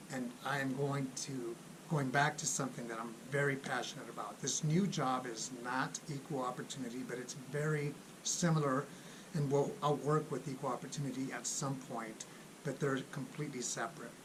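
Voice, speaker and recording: With noticeable background noise and audible room echo, a man of medium pitch speaks at a moderate pace in fairly even intonation. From Los Angeles, California. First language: Spanish. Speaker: Air Force civilian employee, military finance YouTuber. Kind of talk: casual vlog announcement.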